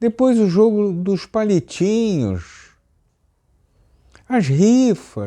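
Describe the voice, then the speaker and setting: Over a quiet background, a man with a high pitch and a dark, mellow tone speaks at a very slow pace with ordinary pitch variation and long, frequent pauses. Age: 80s+. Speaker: YouTube commentator. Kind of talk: opinion monologue.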